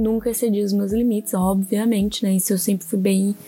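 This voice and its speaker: Fairly quick speech from a woman, fairly even intonation, music in the background. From southern Brazil, Santa Catarina (Orleans). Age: 20s. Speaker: podcast host, illustrator. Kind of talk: casual solo monologue.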